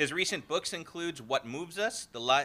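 A man speaks in a bright, sharp tone with ordinary pitch variation.

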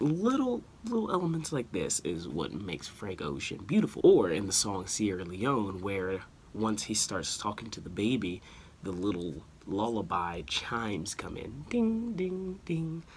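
A soft-spoken man at a fairly slow pace over light background noise. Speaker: music commentator, video creator. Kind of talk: casual talk to camera, music commentary. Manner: soft-spoken, quiet. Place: home room. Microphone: phone near.

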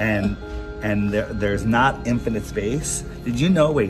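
Clear music plays in the background. A man with a fairly low pitch speaks at a moderate pace. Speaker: interviewer. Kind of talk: interview questions. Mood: friendly, persuasive. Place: hall. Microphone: phone near.

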